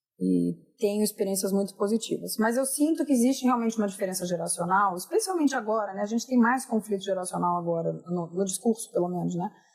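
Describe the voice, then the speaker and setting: Over noticeable background noise, a woman speaks at a very fast pace with hardly any pauses, a medium pitch and ordinary pitch variation. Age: 50s. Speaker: podcast host. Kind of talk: casual chat.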